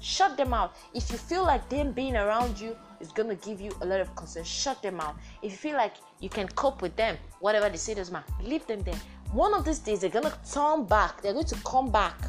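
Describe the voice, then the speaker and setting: A woman talks at a fairly quick pace with music playing in the background. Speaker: podcast host. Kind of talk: casual, conversational.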